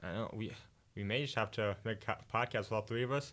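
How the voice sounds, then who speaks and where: A man speaks with an American accent. The recording is very clean, with a silent background. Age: 20s. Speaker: college radio guest. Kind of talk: casual chat. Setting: studio.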